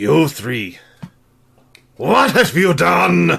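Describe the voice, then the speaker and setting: A man puts on a growling, raspy character voice at a medium pitch. His pitch swings very widely. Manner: angry.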